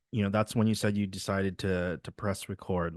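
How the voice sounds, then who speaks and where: A man with a Midwestern accent speaks in a fairly low voice with fairly even intonation. The sound is dry and close with no echo, and the background is quiet. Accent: Midwestern, shows in the a vowels. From Wisconsin, US (Milwaukee suburbs). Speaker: podcast host. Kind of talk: casual interview.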